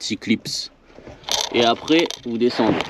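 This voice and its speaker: A man speaks with a Réunion accent. His pace is very slow. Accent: Creole (Réunion). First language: Réunion Creole (speaking French). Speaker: DIY car repair vlogger. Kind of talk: tutorial. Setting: working on a car, filmed with action camera. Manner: halting, many fillers and repetitions.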